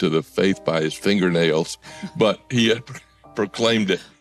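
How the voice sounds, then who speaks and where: Speech at a moderate pace comes through with a dry, close sound with no echo and music in the background. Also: man. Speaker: theologian and preaching teacher. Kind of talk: interview answer recalling a preacher.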